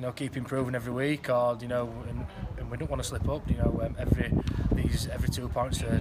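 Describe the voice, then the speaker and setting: A man races along at a very fast pace over loud background noise. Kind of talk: interview answer. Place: stadium. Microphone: phone near.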